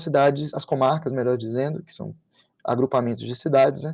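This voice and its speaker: Talking at a very fast pace, a man uses a fairly high pitch and fairly even intonation. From Sergipe, Brazil. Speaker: public prosecutor, guest lecturer. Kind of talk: online lecture. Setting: online video session.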